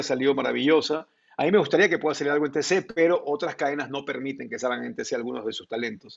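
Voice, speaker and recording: A man is speaking. His pace is fairly quick. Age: 50s. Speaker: sports journalist. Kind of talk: interview.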